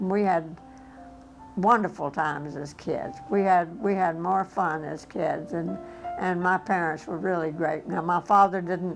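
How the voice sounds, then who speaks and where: Music plays in the background as a woman speaks at a fairly slow pace. Her voice is fairly low, with fairly even intonation. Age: 80s+. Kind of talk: interview answer.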